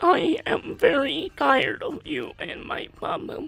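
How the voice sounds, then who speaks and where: In a put-on character voice, the speaker sounds robotic, with a high pitch and a fairly slow pace. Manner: monotone, deadpan.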